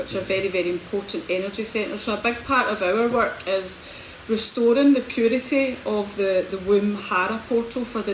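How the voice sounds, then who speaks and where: A woman speaks with a Scottish accent over noticeable background noise. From Scotland, Hamilton. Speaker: spiritual healer and coach. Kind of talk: livestream talk. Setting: social media livestream.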